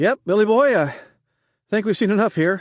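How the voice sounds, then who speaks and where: A man puts on a squeaky character voice, pitched high, at a moderate pace with ordinary pitch variation. The sound is dry and close with no echo, over a quiet background. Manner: nervous, eager to leave.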